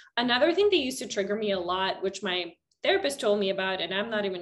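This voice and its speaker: Here a woman has an unremarkable speaking voice at a medium pitch. She talks at a fairly quick pace with lively intonation. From Canada. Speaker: psychotherapist. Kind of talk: interview.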